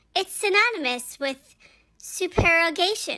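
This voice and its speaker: Moderate pace from a woman in a put-on character voice, pitched extremely high. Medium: read story. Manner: calm, placid.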